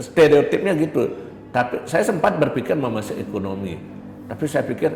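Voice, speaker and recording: A man speaks at a fairly quick pace in a fairly high voice, with very wide pitch swings. Background noise is noticeable. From Bali, Pupuan, Tabanan. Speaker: university lecturer. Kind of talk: interview.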